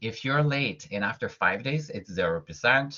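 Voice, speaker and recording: A man with a fairly high pitch and a slight French-Canadian accent. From Quebec, Montreal. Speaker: college professor. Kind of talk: lecture. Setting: online video class.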